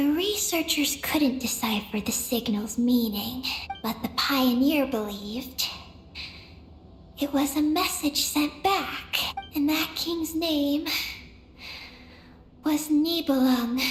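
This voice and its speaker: A female-sounding, put-on character voice speaks high and at a fairly slow pace, with long, frequent pauses. Background noise is clearly audible. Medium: video game. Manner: calm, literal, slightly halting.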